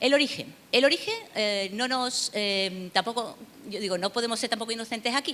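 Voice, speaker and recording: A woman with an Andalusian accent speaks at a moderate pace in a fairly high pitch, with ordinary pitch variation. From southern Spain, Seville. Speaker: university researcher, lecturer. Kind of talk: conference lecture. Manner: hesitant, many fillers and repetitions.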